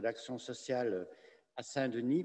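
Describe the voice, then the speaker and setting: The speaker talks at a very slow pace with a Belgian accent. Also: man. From Belgium. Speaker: priest and lecturer. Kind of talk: conference talk. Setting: cathedral with audience and Zoom stream. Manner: hesitant, many fillers.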